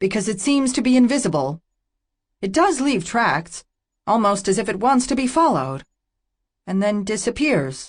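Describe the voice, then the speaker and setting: Using a put-on character voice at a high pitch, a man speaks at a moderate pace with long, frequent pauses. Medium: read story. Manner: cold, clipped, haughty.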